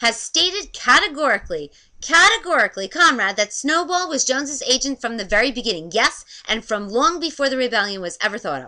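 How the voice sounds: A female-sounding, put-on character voice, squeaky and high-pitched, is raised and projected. The pace is fairly quick.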